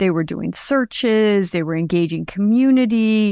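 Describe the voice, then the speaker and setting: At a fairly slow pace, a woman with an unremarkable speaking voice talks with ordinary pitch variation in a dry, close sound with no echo. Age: 60s. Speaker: podcast creator and crime story storyteller. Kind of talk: casual interview about her own story.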